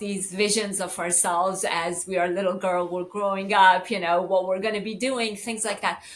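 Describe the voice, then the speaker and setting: At a moderate pace, a woman with an American accent speaks at medium pitch in an unremarkable speaking voice. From US West Coast. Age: 60s. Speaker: lawyer and beauty brand founder. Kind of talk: interview.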